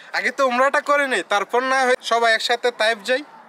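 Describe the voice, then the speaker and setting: A man uses a raised, projected voice at an extremely high pitch. The sound is dry and close with no echo, and there is noticeable background noise. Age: 20s. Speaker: travel vlogger. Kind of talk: travel vlog talk to camera. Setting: outdoors.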